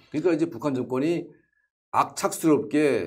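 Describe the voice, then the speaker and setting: A man's voice against a quiet background. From North Korea. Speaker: North Korean defector and activist; interview guest. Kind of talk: interview. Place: studio. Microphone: lapel.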